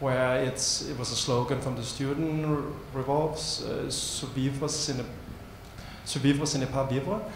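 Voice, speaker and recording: With a Danish accent, a man at a medium pitch speaks at a fairly slow pace and with fairly even intonation, amid an audible room echo and noticeable background noise. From Denmark. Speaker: arts organization co-founder. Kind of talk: panel discussion. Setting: stage with audience.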